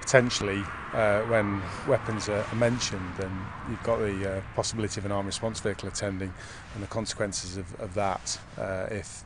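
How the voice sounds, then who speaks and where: Over noticeable background noise, a man speaks at a fairly quick pace in a fairly low pitch. His intonation is monotone and flat, and the sound is dry with no echo. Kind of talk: interview answer. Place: street.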